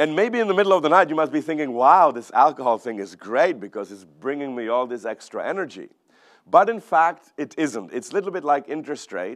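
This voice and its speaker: A man's fairly high voice in a Czech accent, with very wide pitch swings, big swings in loudness and a fairly quick pace, over a quiet background. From Czech Republic. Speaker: economist. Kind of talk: keynote talk. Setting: stage with audience.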